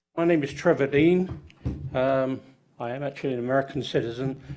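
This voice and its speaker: With an English accent, a man speaks at medium pitch and a moderate pace. His intonation is fairly even. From England, London. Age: 70s. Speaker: public commenter. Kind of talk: public comment at hearing. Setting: public meeting. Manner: halting.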